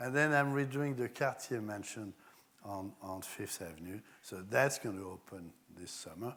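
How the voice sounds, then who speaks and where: A man with a French accent, fairly low-pitched, with lively intonation and big swings in loudness. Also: moderate pace. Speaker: architect and designer. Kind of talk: public talk with slides.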